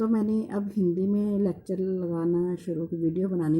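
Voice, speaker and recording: This woman has a medium pitch. Her tone is dark, mellow and somewhat breathy. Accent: Punjabi. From Punjab, India. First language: Punjabi (speaking Hindi). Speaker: sewing teacher. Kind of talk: tutorial. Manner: hesitant, many fillers.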